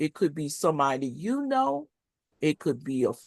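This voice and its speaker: A woman speaks with an American accent and very wide pitch swings. Her background is quiet. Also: dry, close sound with no echo. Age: 60s. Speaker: HIV advocate and panel host. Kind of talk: panel discussion introduction. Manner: hesitant, many fillers.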